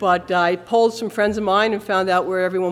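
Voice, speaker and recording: The speaker has an American accent and a fairly quick pace. Intonation stays fairly even. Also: woman. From Long Island, New York. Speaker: church member giving testimony. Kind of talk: testimony. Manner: fast when nervous.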